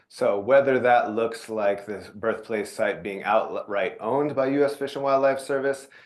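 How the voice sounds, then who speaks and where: This is a man with a plain, everyday voice at a medium pitch, showing ordinary pitch variation. He keeps a moderate pace with hardly any pauses against a quiet background. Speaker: nonprofit presenter. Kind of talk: presentation.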